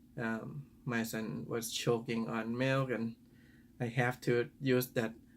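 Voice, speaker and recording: In a Thai accent, a man at medium pitch talks with fairly even intonation. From Thailand. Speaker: father. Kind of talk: personal reflective talk to camera. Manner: hesitant, thoughtful.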